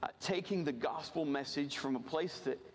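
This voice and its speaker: A man with an American accent speaks at a fairly high pitch with ordinary pitch variation. Noticeable background noise runs behind him. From rural Virginia. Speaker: missionary. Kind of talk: missions sermon from a church pulpit. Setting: church service. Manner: earnest, halting with frequent repeated words and fillers.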